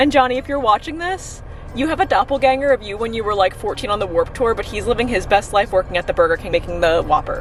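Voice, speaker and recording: Through noticeable background noise, a high-pitched woman talks at a very fast pace with very wide pitch swings. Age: 20s. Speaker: food reviewer vlogger. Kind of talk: casual vlog talk. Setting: in a car at a drive-thru. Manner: animated.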